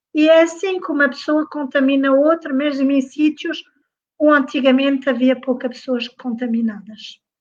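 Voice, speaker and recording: A moderate pace with fairly even intonation. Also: woman. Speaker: nurse, former COVID-19 patient. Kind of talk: testimony. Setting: Facebook live broadcast.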